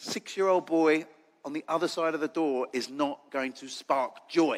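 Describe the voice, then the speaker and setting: Speaking at a fairly slow pace with an English accent, a man with fairly high pitch keeps his intonation fairly even while his loudness swings widely, on a very clean recording with a silent background. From England. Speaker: charity leader and foster carer. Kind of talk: conference talk.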